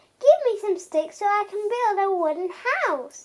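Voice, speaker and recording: This squeaky, put-on character voice sits at an extremely high pitch and moves at a moderate pace. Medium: read story. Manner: polite, cheeky.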